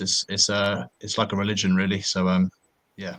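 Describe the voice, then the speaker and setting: The voice has a bright, sharp tone and fairly even intonation in a southern English accent. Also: man. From North London, England. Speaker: football podcast panellist. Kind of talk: casual chat.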